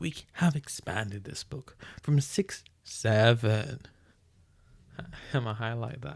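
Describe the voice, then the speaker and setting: This somewhat breathy man talks at a medium pitch with ordinary pitch variation on a very clean recording with a silent background. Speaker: streamer reading books aloud. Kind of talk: reading aloud with casual commentary. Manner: halting, stumbling over words.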